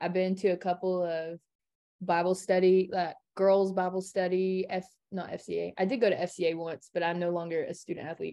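A woman speaks with an American accent at a medium pitch. Her pace is fairly quick and her intonation monotone and flat. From Kingsport, Tennessee (Appalachia). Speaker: college student. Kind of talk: casual chat. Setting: remote call from dorm room.

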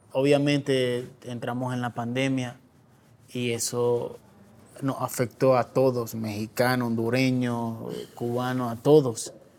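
The man has a medium-pitched voice. He speaks very slowly with monotone, flat intonation. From Nicaragua. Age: 30s. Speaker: refugee. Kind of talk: testimony.

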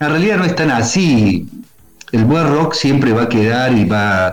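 Music plays behind a man speaking at a very slow pace. His intonation is lively, with audible room echo. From Córdoba, Argentina. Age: 40s. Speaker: writer and rock radio columnist. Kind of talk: interview.

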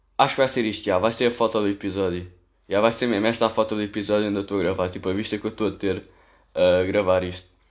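Very fast speech from a man at a fairly low pitch, against a quiet background. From Portugal, Amadora (Lisbon area). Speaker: podcaster. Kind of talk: casual monologue. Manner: rambling, casual slang-heavy.

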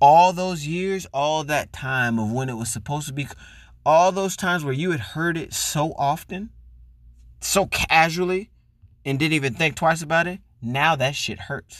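A man's unremarkable speaking voice, fairly high in pitch, with ordinary pitch variation and a moderate pace, on a very clean recording against a silent background. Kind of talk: angry rant. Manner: heated, loud, profane and indignant.

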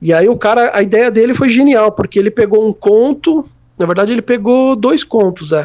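A man is speaking. His pace is moderate. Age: 30s. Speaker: music journalist and writer. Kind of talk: casual interview chat.

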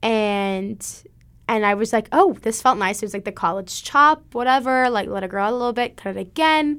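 With an American accent, a woman speaks in a normal speaking voice at a fairly high pitch and a moderate pace. Her pitch variation is ordinary, and the recording is very clean with a silent background. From US Midwest, Springfield, Missouri. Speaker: college student. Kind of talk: casual chat.

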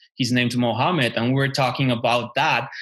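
Bright and sharp in tone, a man speaks with a Mexican accent in a monotone, flat intonation. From Mexico. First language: Spanish. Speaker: podcast co-host. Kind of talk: casual chat.

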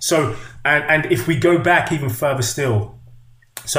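A man at a fairly slow pace with ordinary pitch variation, in audible room echo. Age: 50s. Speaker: movement coach and author. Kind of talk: casual chat.

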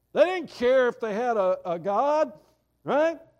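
A man with a Southern US accent at a fairly slow pace, against a quiet background. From US South. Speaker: pastor. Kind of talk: sermon.

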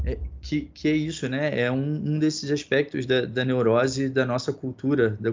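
At a moderate pace, a man speaks at a medium pitch in a normal speaking voice. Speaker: podcast host. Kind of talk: moderated discussion.

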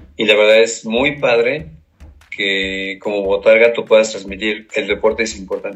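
Over music in the background, a man with a fairly low pitch talks at a moderate pace with fairly even intonation. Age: 50s. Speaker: sports team mascot performer. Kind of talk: interview. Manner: halting.

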